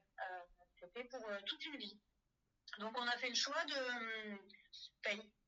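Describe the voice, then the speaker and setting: A woman's fairly high voice at a fairly slow pace with ordinary pitch variation. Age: 40s. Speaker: farmer. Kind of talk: testimony. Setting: phone call. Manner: halting.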